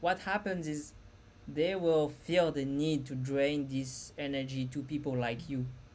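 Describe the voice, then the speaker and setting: The speech moves at a fairly slow pace with ordinary pitch variation. Echo from the room is audible. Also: woman, very deep, low pitch for a woman. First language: not English. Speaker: spiritual content creator. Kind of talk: casual talk to camera. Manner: halting.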